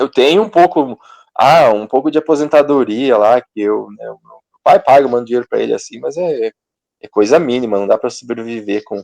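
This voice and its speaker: A man with a plain, everyday voice, medium-pitched, at a moderate pace with ordinary pitch variation and big swings in loudness. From Brazil, interior of Paraná. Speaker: control and automation engineer. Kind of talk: interview. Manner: casual, filler-heavy.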